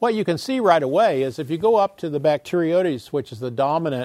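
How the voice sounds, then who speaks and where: Heard on a very clean recording with a silent background, a man with a plain, everyday voice speaks at a moderate pace with lively intonation. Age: 60s. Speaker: scientist lecturer. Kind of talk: lecture.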